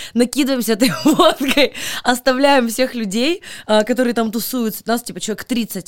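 Here a woman speaks in an animated tone at a moderate pace, with a dry, close sound that has no echo. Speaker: podcast host. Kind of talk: casual chat.

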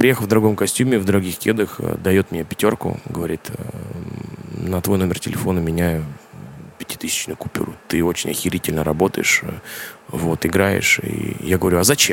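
Long, frequent pauses break up a man's speech at a moderate pace. His voice is very deep and low with ordinary pitch variation, over noticeable background noise. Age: 30s. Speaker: drummer. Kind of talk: casual interview chat. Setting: kitchen.

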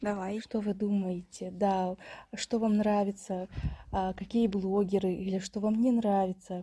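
This woman's voice sits at a medium pitch, somewhat breathy, with a dark, mellow tone. Her intonation is monotone and flat. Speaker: podcast co-host. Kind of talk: casual chat.

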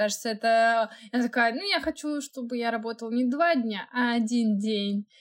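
Using an ordinary speaking voice, a woman talks at a fairly high pitch and a moderate pace with ordinary pitch variation and hardly any pauses, in a very clean recording with a silent background. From Russia, Moscow. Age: 20s. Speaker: podcast co-host, technical designer. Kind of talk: casual chat.

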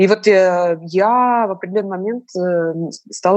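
A woman uses a normal speaking voice, her pitch medium and her pitch variation ordinary. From Moscow, Russia. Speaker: tour guide and opera singer. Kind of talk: casual chat.

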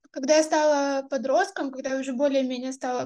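A woman speaks in a high pitch with a dark, mellow tone and monotone, flat intonation. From southern Russia, Krasnodar. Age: 20s. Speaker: activist's daughter. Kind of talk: personal recollection.

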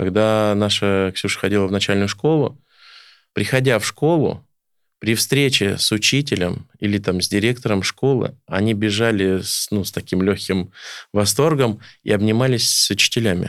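A man with a normal speaking voice talks at a moderate pace in a fairly low pitch, with ordinary pitch variation, on a very clean recording with a silent background. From Oryol region, Russia. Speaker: folk accordionist and village farmer. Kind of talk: casual interview chat. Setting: studio.

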